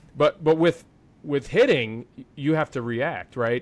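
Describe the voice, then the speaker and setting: A man with a medium pitch and ordinary pitch variation talks fairly slowly. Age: 40s. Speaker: podcast host, former pro baseball player, broadcaster. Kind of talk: casual interview chat. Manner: animated, many fillers and restarts.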